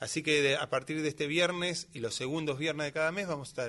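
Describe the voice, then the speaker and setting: The pace is fairly quick as a man talks. His tone is bright and sharp. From Greater Buenos Aires (Lomas de Zamora). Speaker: tango musician. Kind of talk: casual chat. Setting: studio.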